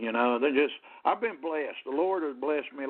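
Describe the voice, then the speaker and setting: A man speaks with a Southern US accent. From US South, Jacksonville, Florida (born in Ohio). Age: 60s. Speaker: singer-songwriter. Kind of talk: radio interview. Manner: halting, many fillers and repeats.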